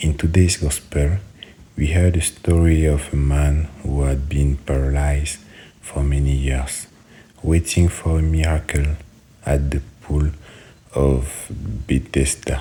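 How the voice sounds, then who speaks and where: A man with a very deep, low pitch talks at a fairly slow pace in a monotone, flat intonation with long, frequent pauses, over noticeable background noise. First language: French. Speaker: prayer leader. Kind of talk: prayer. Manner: halting.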